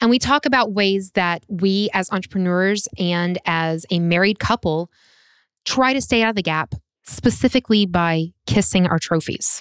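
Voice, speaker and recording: A woman with an ordinary speaking voice talks at a moderate pace, her medium pitch showing ordinary variation. The recording is very clean with a silent background and a dry, close sound with no echo. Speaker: podcast host, entrepreneur and vocalist. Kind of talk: casual chat between spouses.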